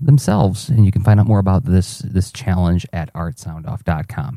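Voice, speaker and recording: A quiet, somewhat breathy male voice in a dark, mellow tone. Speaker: artist podcaster. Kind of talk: audio journal. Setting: home at night. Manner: fast.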